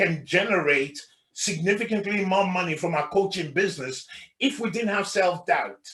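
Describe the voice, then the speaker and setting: Loud and animated, a man speaks in a high pitch. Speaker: life coach trainer. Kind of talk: workshop presentation.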